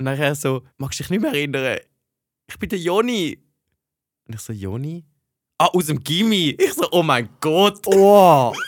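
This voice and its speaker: The delivery is animated, with very wide pitch swings and big swings in loudness. It moves at a fairly slow pace with long, frequent pauses. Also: man, fairly high pitch for a man. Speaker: podcast co-host, university student. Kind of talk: casual chat.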